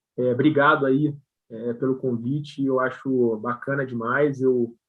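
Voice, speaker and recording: A man with a strong Rio de Janeiro accent speaks at a fairly slow pace with monotone, flat intonation. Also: medium pitch for a man. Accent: strong carioca accent with hissing s. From Brazil, Rio de Janeiro. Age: 40s. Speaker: company CEO. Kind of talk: live video interview chat. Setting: live stream.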